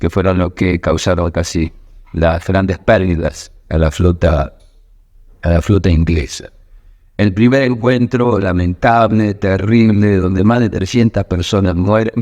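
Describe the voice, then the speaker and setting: With a Rioplatense accent, a man talks at a fairly slow pace, his very deep, low pitch held at very even loudness. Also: ordinary pitch variation. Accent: Argentine Rioplatense Spanish. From Argentina, southern Santa Fe (Villa Constitución). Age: 60s. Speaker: war veteran. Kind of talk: testimony. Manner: hesitant, with fillers.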